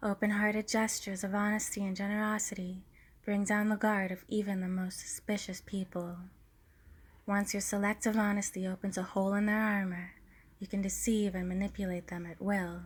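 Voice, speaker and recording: Soft-spoken and somewhat breathy, a woman talks at a fairly quick pace in a gentle tone, her medium-pitched voice flat and monotone. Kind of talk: ASMR book reading for sleep and relaxation. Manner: soft, gentle.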